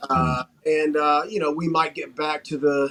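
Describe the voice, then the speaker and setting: This man speaks with a Southern US accent at a moderate pace. His pitch is fairly high. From North Carolina, Wilmington. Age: 40s. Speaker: pro wrestler. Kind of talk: interview.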